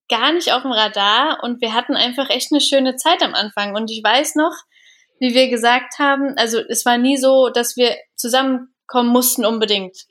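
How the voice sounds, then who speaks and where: A woman's high voice with ordinary pitch variation, on a very clean recording with a silent background. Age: 30s. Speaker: business consultant and trainer. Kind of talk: casual chat.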